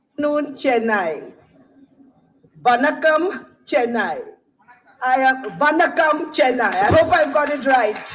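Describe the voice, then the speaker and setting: With music in the background and audible room echo, a woman speaks very slowly in a high pitch with lively intonation and long, frequent pauses. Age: 60s. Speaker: company managing director. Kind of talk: keynote speech. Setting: stage with audience.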